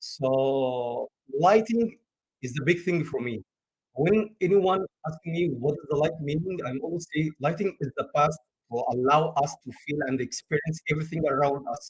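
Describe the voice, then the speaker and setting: This man's voice sits fairly high and is somewhat breathy. His pitch varies in an ordinary way. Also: moderate pace, dry, close sound with no echo. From Egypt. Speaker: game lighting artist. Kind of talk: interview. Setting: live stream. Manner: halting, with frequent uh fillers.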